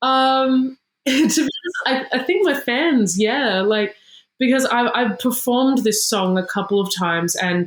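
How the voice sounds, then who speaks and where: A woman with an Australian accent speaks fairly slowly in a high voice. Her intonation is lively and her loudness very even. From Sydney, Australia. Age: 20s. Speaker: singer-songwriter. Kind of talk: interview. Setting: video call.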